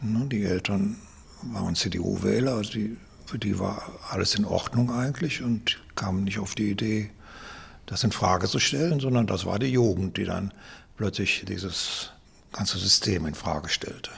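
This man's voice is fairly low and somewhat breathy, with ordinary pitch variation. He talks at a fairly slow pace with long, frequent pauses. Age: 70s. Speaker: retired philosophy teacher. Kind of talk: interview.

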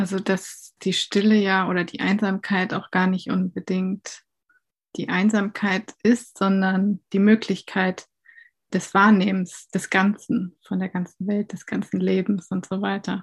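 Speaking at a very slow pace, a woman uses a monotone, flat intonation and sounds somewhat breathy, recorded dry and close with no echo over a quiet background. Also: medium pitch for a woman. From northern Germany, near Hamburg. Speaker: composer. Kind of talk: interview excerpt.

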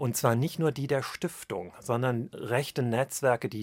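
A man with a normal speaking voice at a medium pitch, fairly even intonation and a moderate pace, in a dry, close sound with no echo on a very clean recording with a silent background. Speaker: historian. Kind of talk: interview.

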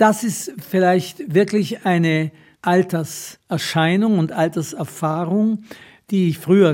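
Over a very clean recording with a silent background, a man with a high pitch and a dark, mellow tone speaks at a very slow pace with ordinary pitch variation. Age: 80s+. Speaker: writer and retired teacher. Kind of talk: interview.

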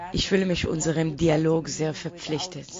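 A woman in an Israeli accent, with noticeable background noise. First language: Hebrew (speaking German). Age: 40s. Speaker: playwright. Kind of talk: interview.

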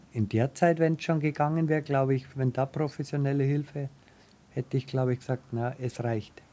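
Here a man uses an ordinary speaking voice at a fairly high pitch. His intonation is fairly even and his pace fairly quick. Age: 50s. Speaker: wheelchair user with paraplegia. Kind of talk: interview testimony.

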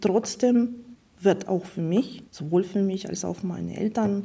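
The speaker has a Russian accent. Intonation stays fairly even at a fairly slow pace. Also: woman. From Russia, St. Petersburg. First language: Russian (speaking German). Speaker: interviewee. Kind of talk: interview.

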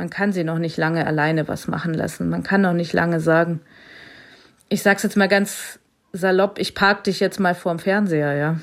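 At a moderate pace, a woman speaks in an unremarkable speaking voice, fairly low in pitch, with fairly even intonation. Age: 40s. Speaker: blind mother and teacher on parental leave. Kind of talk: interview.

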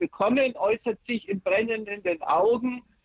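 A woman uses an ordinary speaking voice at a fairly slow pace, with a dry, close sound and no echo. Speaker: caller. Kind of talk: phone call describing symptoms. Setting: phone call. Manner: anxious.

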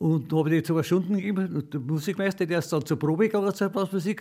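A man with a fairly high pitch and a dark, mellow tone speaks very fast. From Upper Bavaria, Freising. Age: 90s. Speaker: retired trumpeter and folk musician. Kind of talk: interview. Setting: at home.

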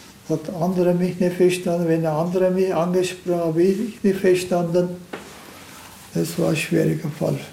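The delivery is monotone and flat, at a moderate pace. Noticeable background noise and audible room echo fill the recording. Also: man, high pitch for a man. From Turkey. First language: Turkish (speaking German). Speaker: retired car factory welder. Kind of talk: casual interview.

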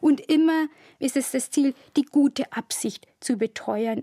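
A woman speaks with a dark, mellow tone at a moderate pace. Pitch varies ordinarily, and the sound is dry and close with no echo. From Bavarian Forest, Bavaria. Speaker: historian. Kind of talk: interview. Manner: formal.

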